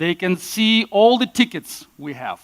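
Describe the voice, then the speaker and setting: In a Russian accent, a man talks with lively intonation, the sound dry and close with no echo. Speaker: conference speaker. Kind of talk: conference talk. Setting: stage with audience.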